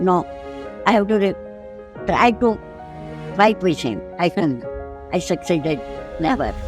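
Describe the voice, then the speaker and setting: Over music in the background, a woman speaks with very wide pitch swings and long, frequent pauses. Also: medium pitch for a woman, moderate pace. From Gujarat, India. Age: 80s+. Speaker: food entrepreneur. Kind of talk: interview answer.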